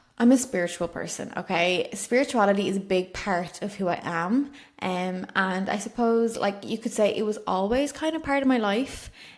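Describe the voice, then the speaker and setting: A woman with an Irish accent speaks at a moderate pace in a medium pitch. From Ireland. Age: 20s. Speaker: podcast host, spiritual coach. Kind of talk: solo podcast monologue. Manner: chatty, casual with many fillers.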